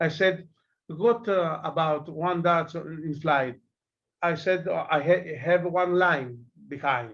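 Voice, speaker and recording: At a very slow pace, a man speaks with a high pitch and ordinary pitch variation. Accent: Greek. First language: Greek. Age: 40s. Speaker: darts player. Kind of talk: interview. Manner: halting.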